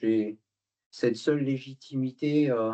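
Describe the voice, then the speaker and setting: This man has a medium-pitched voice with a dark, mellow tone. He speaks at a very slow pace. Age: 60s. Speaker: retired executive and immigration activist. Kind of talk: lecture. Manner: hesitant, many filler words.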